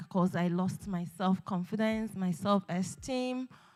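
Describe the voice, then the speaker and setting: With music in the background, a woman of medium pitch speaks at a fairly slow pace. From Nigeria. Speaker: beauty pageant winner. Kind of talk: talk show interview. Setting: stage with audience.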